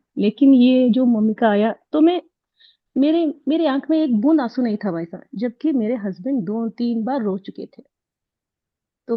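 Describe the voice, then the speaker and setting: This woman has an unremarkable speaking voice. Her intonation is lively. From Karnataka, India. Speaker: course participant sharing success story. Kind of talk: testimony.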